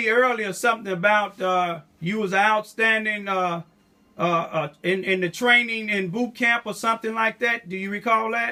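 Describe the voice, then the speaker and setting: A man's raised, projected voice, high in pitch, with fairly even intonation and an American accent. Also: moderate pace. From Southeast Missouri. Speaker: activist. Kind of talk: interview questions.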